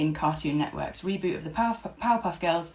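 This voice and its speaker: With a British accent, a woman speaks in a fairly low, somewhat breathy voice with lively intonation. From UK. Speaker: podcast host. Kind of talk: scripted introduction; casual interview chat. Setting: recording from home, video call.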